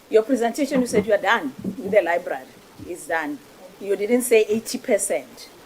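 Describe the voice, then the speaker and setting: Amid noticeable background noise, a woman speaks with lively intonation in a fairly high pitch. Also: moderate pace. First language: not English (Setswana/Sepedi). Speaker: parliamentary committee member. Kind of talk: parliamentary oversight questioning. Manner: assertive, interrupting.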